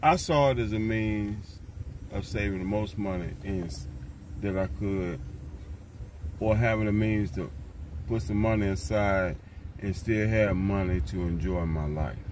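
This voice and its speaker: A man's fairly low, fairly slow voice with ordinary pitch variation and long, frequent pauses, dry with no echo, over light background noise. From US South, Tennessee. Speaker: van dweller vlogger. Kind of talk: casual vlog monologue. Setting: outdoors, windy. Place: car. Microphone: phone near.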